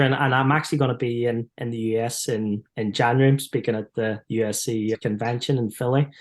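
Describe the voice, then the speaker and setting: A man speaks in a monotone at a medium pitch with an Irish accent, talking at a fairly quick pace with hardly any pauses against a quiet background. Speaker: performance psychologist, former footballer. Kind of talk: podcast interview.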